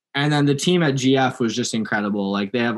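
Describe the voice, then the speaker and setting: A man with a western Canadian accent and ordinary pitch variation, on a very clean recording with a silent background. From Langley, British Columbia, Canada. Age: 20s. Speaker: mountain biker and electrician. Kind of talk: casual interview.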